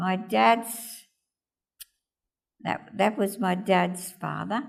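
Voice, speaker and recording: A woman speaks with an Australian accent. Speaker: oral history interviewee. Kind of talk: oral history interview, recalling family history.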